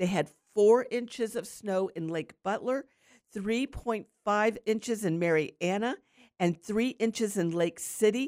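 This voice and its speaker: In a normal speaking voice with an American accent, the speaker goes at a fairly slow pace with ordinary pitch variation, the sound dry and close with no echo. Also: woman. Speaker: radio host. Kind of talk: live radio gardening call-in show. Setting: studio. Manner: warm, chatty, upbeat.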